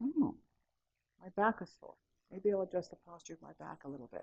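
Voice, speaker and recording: The voice is soft-spoken and calm, with a dark, mellow tone and a fairly quick pace. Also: woman. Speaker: mindfulness trainer. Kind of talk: workshop talk with guided practice. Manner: voice lowering, calm and soft.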